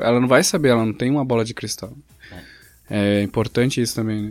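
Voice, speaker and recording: A man talks in a normal speaking voice at a medium pitch with fairly even intonation. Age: 20s. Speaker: podcast host. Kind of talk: casual chat.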